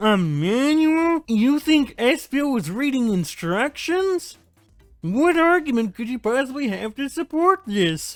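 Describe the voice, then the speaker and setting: Someone performs a put-on character voice at a fairly slow pace. Faint music plays in the background. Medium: game stream. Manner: loud, blustery.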